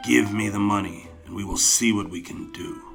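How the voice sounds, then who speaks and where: A man uses a raspy, put-on character voice at a fairly low pitch, talking at a moderate pace over clear music in the background. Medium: read story. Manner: measured, authoritative.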